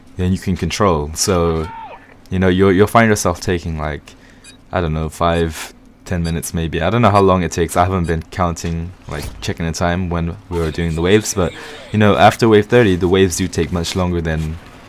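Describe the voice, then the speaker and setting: A man's very deep, low voice at a fairly quick pace, with fairly even intonation over noticeable background noise. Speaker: gaming commentator. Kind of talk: gameplay commentary. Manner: monotone; casual, filler-heavy.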